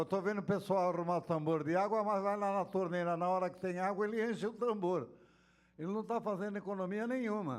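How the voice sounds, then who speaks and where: Pitched high, a man's voice moves along at a fairly fast clip. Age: 70s. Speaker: city councillor. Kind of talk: council hearing remarks. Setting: council chamber.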